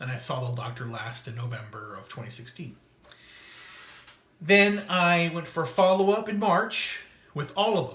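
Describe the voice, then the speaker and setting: A man speaks at a moderate pace with a fairly high pitch, very wide pitch swings and big swings in loudness, leaving long, frequent pauses. Audible room echo and noticeable background noise fill the recording. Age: 40s. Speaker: vlogger documenting weight loss and illness. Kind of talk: personal video diary monologue. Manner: halting, with false starts.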